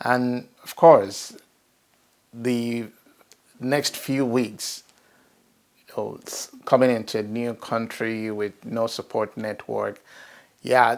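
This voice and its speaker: A man in a Nigerian accent, very slow and monotone with flat intonation, big swings in loudness and long, frequent pauses. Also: medium pitch for a man. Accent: Nigerian (Yoruba) English. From Nigeria, Ibadan. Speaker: professional network member. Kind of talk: personal testimony interview. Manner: hesitant, many fillers and restarts.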